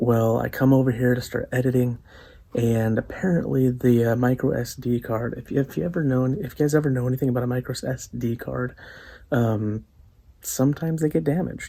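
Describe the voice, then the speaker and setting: Fairly quick, medium-pitched speech from a man, with ordinary pitch variation. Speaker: outdoors and cooking vlogger. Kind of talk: casual vlog. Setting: at home at night. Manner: quiet.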